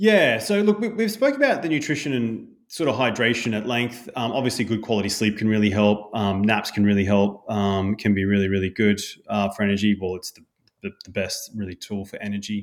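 A man with an Australian accent speaks at a fairly quick pace and a fairly low pitch, with fairly even intonation. His loudness swings a lot, and the recording is very clean with a silent background. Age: 40s. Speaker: health coach. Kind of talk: casual chat.

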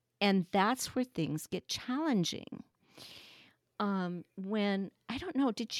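A woman at a fairly slow pace. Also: dry, close sound with no echo, very clean recording, silent background. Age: 60s. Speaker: fiber craft technical editor. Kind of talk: casual chat.

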